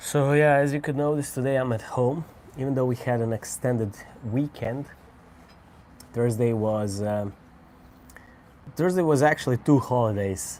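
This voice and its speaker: A man with a Croatian accent, ordinary pitch variation, and long, frequent pauses. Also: medium pitch for a man, moderate pace. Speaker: cigar reviewer. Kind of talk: casual live stream chat. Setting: at home.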